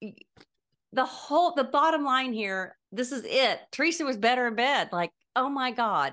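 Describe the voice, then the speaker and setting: Against a quiet background, a woman with a high voice speaks at a moderate pace with lively intonation. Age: 60s. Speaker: podcast co-host. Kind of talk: casual chat.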